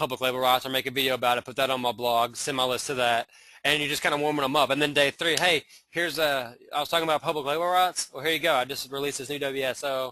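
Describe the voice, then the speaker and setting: A man with a Southern US accent, fairly high-pitched with a bright, sharp tone, very fast, with fairly even intonation. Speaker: internet marketer. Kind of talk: webinar training. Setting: live webinar. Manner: casual, hesitant with many fillers.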